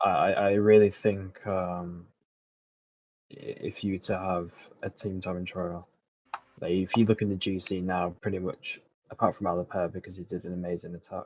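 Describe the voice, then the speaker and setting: Soft-spoken and very deep in pitch, a man talks in a monotone, flat intonation with long, frequent pauses. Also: moderate pace. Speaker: esports gamer. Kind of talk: casual chat.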